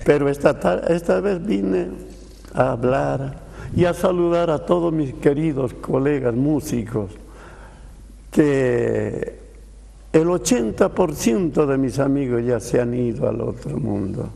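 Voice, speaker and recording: Very slow male speech, medium in pitch, with lively intonation. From Bolivia. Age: 80s+. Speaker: veteran saxophonist. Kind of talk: TV interview.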